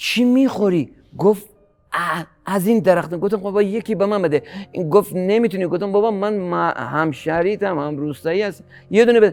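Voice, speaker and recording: A man speaks high for a man, at a moderate pace with ordinary pitch variation. Music plays in the background. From Gilan, northern Iran. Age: 60s. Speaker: farmer and fisherman. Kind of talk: interview answer.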